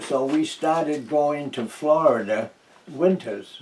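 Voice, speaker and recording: This man speaks with a New England accent. His pace is very slow. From New Hampshire. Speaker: retired teacher, war veteran. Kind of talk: oral history interview answer. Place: home room. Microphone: camera far.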